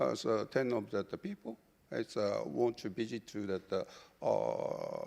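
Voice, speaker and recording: With a Japanese accent, a man speaks at a fairly slow pace. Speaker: business delegation leader. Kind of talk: panel discussion. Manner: halting.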